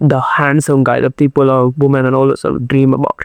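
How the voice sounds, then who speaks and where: A man's fairly high voice with monotone, flat intonation. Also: dry, close sound with no echo. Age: 20s. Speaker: YouTuber. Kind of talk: motivational monologue.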